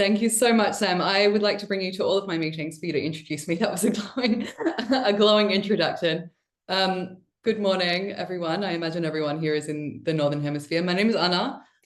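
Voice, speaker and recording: Speaking at a very fast pace in an Australian accent, a woman is heard with audible room echo. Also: medium pitch for a woman, ordinary pitch variation. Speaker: marketing and brand lead, presenter. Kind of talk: webinar presentation. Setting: online webinar.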